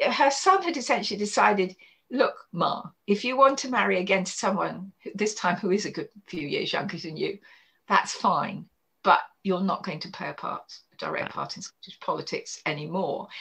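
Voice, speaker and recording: A woman with a southern English accent and big swings in loudness. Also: moderate pace. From Kent, southeast England. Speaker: historian and author. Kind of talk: interview.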